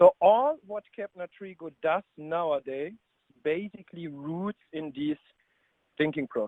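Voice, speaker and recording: Here a man speaks in a German accent. His pitch is high and his intonation lively. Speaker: business consultant. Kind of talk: webinar presentation. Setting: online webinar call.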